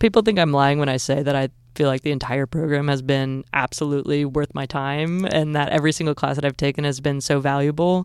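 A woman's very deep, low pitch in an American accent, very fast with hardly any pauses and fairly even intonation, on a very clean recording with a silent background. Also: dry, close sound with no echo. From Southern Illinois. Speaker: sports media executive. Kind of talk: interview.

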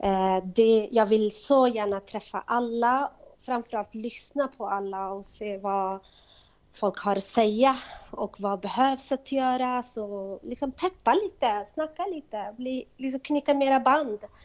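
Over a quiet background, an ordinary speaking voice moves at a fairly slow pace with ordinary pitch variation. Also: woman, fairly high pitch for a woman. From Kurdistan. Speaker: organization chair. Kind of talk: interview. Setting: phone call.

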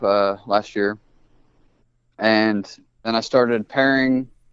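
A man speaks in a normal speaking voice with an American accent. His pitch varies in an ordinary way. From US Midwest, Indianapolis. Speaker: snake breeder. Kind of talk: casual chat.

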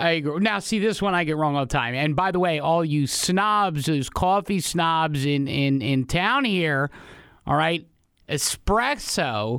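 A man with a plain, everyday voice speaks at a fairly slow pace and a fairly high pitch, his intonation lively and his loudness very even. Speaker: radio host. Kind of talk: morning radio show with callers. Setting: studio.

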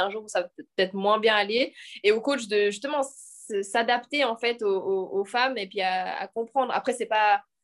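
A woman with a fairly high pitch talks at a moderate pace in a normal speaking voice, her pitch varying in an ordinary way. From French-speaking Switzerland, Lausanne. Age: 20s. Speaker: professional sprinter. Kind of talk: casual chat. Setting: video call.

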